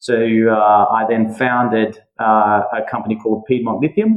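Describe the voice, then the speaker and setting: The speaker has an Australian accent. Their intonation stays fairly even. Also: man. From Western Australia (Perth). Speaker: mining and metals company founder. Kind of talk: podcast interview. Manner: hesitant, many fillers.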